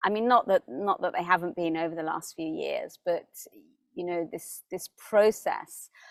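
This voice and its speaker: A woman with a British accent speaks at a moderate pace, her loudness swinging widely. The sound is dry and close, with no echo. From UK. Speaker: spiritual teacher. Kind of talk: spiritual talk to camera. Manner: hesitant, many fillers and repeats.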